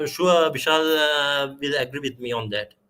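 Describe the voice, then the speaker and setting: The voice has a bright, sharp tone and a Sri Lankan accent. Its pace is fairly slow. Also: man. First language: Sinhala. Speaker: guest lecturer, security researcher. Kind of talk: guest lecture, live Q&A. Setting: live online stream. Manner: halting, many fillers and repeats.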